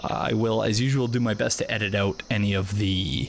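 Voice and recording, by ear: A man's fairly low, fairly bright, nasal voice at a moderate pace with ordinary pitch variation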